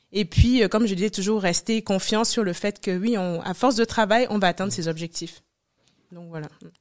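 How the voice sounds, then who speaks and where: At a moderate pace, a woman with a West African accent speaks at a medium pitch, with ordinary pitch variation and big swings in loudness. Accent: West African French accent, kept. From Senegal (Dakar), Cameroonian family. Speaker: entrepreneur, former consultant. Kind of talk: interview.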